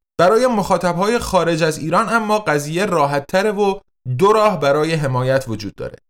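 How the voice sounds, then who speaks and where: Lively in intonation, a man talks at a fairly quick pace in a high pitch. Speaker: podcast host, translator and publisher. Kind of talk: scripted narration.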